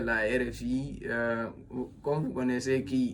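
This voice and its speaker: Audible room echo surrounds a man as he speaks. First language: a Guinean language (speaking French). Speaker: self-styled philosopher, commentator. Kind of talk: monologue commentary. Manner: halting, many fillers and repetitions.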